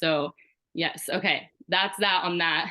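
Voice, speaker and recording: A woman speaks in a fairly low pitch with fairly even intonation. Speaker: network marketing team leader. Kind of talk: team call presentation. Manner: fast; casual, filler-heavy.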